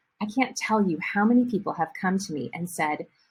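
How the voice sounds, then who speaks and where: A woman's somewhat breathy, medium-pitched voice with a Midwestern US accent, at a moderate pace. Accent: Midwest American English. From US Midwest, rural Ohio. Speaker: Spanish teacher and language school founder. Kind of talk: promotional presentation.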